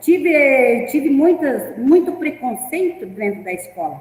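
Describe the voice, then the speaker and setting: Over noticeable background noise, a woman speaks with a pitch that swings very widely. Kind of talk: teacher training talk. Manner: halting.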